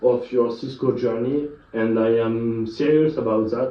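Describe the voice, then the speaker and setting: Speaking at a very slow pace, a man talks with a French accent. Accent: French accent, non-native English. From France. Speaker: IT educator / YouTuber. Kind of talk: tutorial. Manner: halting, many filler sounds.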